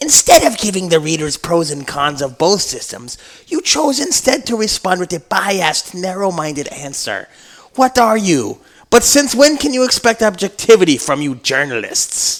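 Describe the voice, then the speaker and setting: A man's put-on character voice, high, nasal and hissing, with an angry tone, very wide pitch swings and a moderate pace. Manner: angry, pedantic, hissy.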